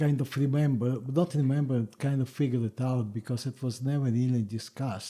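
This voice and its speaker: Somewhat breathy, with a dark, mellow tone, a man speaks at a fairly quick pace in a medium pitch with fairly even intonation. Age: 70s. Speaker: interviewee father. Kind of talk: family history interview. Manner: halting.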